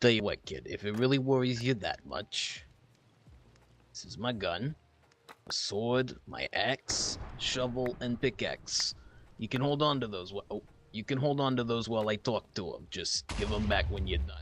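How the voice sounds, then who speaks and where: In a put-on character voice, a man sounds gruff at a medium pitch. He moves at a moderate pace with lively intonation. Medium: game stream. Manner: plainspoken, gruff, halting.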